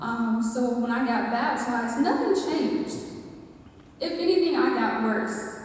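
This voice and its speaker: In strong room echo, a woman with an American accent speaks at a fairly high pitch. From US South, rural Georgia. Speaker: church member giving testimony. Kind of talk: testimony. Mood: earnest, emotional. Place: hall. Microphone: pa.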